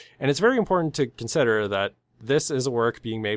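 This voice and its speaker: An unremarkable speaking voice at a fairly quick pace with ordinary pitch variation, dry and close with no echo, on a very clean recording with a silent background. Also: man. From Canada. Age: 20s. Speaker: podcast co-host. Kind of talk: casual chat.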